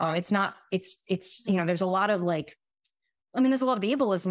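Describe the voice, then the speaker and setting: A woman talks at a fairly quick pace with lively intonation, in a very clean recording with a silent background. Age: 30s. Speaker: family physician. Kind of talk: casual chat. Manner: halting.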